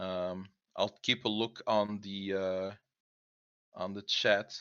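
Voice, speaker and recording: A man with a non-native accent. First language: not English. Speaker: co-host of online creative hangout. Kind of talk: casual group video chat presentation. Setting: online voice chat on Discord. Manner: halting, many fillers and restarts.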